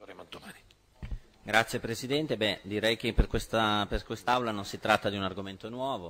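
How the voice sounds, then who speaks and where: Under light background noise, a man talks at a moderate pace with fairly low pitch and fairly even intonation. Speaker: opposition regional councillor. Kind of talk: parliamentary question time speech. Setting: regional council chamber. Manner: formal, accusatory. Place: hall. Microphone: podium.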